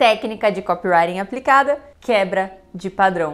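A woman's lively, up-and-down intonation at a moderate pace. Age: 20s. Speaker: copywriting teacher. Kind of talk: educational video monologue. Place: studio. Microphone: lapel.

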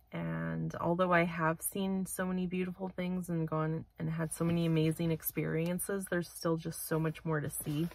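A woman's fairly low, monotone voice with flat intonation, at a moderate pace with hardly any pauses, dry with no echo. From Manitoba, Canada. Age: 30s. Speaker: vlogger. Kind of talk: casual vlog monologue. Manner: hesitant, many fillers. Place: car. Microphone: phone near.

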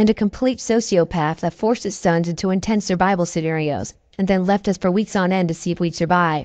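Against a quiet background, a normal speaking voice moves at a fairly quick pace with ordinary pitch variation. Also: woman. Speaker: scary story narrator. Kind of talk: ghost story telling, reading listener-submitted tales aloud.

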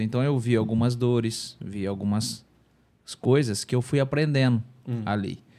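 A man at a moderate pace, with a dark, mellow tone and ordinary pitch variation. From Brazil. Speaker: former footballer; podcast guest. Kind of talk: casual chat. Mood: relaxed, reflective storytelling. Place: studio. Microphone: studio mic.

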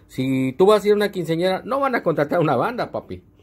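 A man talks very fast at a high pitch with lively intonation. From northern Mexico. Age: 40s. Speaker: online show host. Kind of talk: casual chat. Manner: casual and slangy. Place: home room. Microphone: earbuds.

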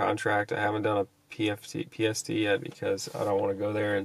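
In an unremarkable speaking voice, a man talks at a moderate pace and fairly low pitch, the sound dry with no echo. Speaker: fitness vlogger. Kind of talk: casual vlog chat. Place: car. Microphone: phone near.

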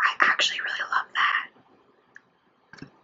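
A woman is whispering. She keeps a moderate pace. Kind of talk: ASMR unboxing, casual talk to camera. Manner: soft-spoken, whispery, friendly.

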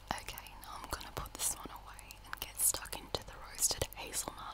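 The voice whispers at a moderate pace. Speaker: ASMR creator. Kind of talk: ASMR unboxing and eating. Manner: whispered. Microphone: studio mic.

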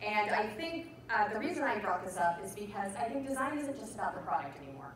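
A woman's fairly high voice with very wide pitch swings, audible room echo and light background noise. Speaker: conference speaker, designer. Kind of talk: casual, energetic presentation. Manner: fast talker. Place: stage. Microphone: camera far.

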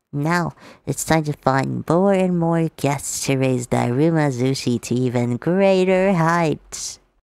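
A put-on character voice sits at a low-to-middle pitch and moves at a fairly slow pace. The recording is very clean, with a silent background. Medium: voice reel. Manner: solemn, formal, devoted.

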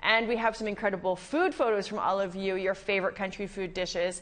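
A woman talking at a fairly quick pace. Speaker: show host. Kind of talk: TV show host introduction. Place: studio. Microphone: lapel.

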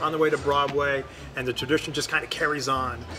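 A man at a fairly quick pace over clear music in the background. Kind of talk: interview answer. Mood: warm, proud. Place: cafe.

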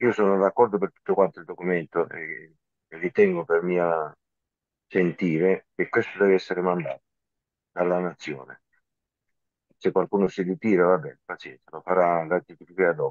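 A man with a very deep, low pitch talks at a moderate pace with fairly even intonation and long, frequent pauses. His loudness swings a lot, and the sound is dry and close with no echo. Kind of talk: online group meeting.

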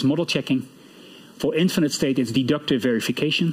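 Speaking with a Dutch accent at a fairly quick pace, the voice shows ordinary pitch variation over a quiet background. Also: man. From Netherlands. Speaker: computer science professor; professor giving closing lecture. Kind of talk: lecture. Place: hall.

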